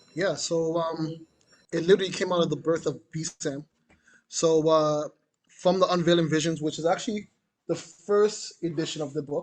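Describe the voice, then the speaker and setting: Speaking at a moderate pace with a Jamaican accent, a man with a fairly high-pitched voice keeps his intonation fairly even. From Canada, Jamaican heritage. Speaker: curator and artist. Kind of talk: panel conversation. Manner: casual, conversational.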